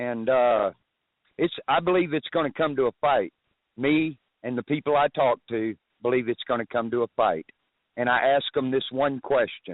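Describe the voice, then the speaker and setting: A man with a normal speaking voice, medium in pitch with ordinary pitch variation. He talks at a moderate pace and his loudness stays very even. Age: 60s. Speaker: caller. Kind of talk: call-in talk radio.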